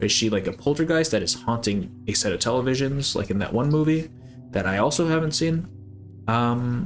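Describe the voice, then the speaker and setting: A man's medium-pitched voice with lively intonation at a fairly quick pace, over faint music in the background. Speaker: video game analysis creator. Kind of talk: video essay narration. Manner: casual with fillers. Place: home room.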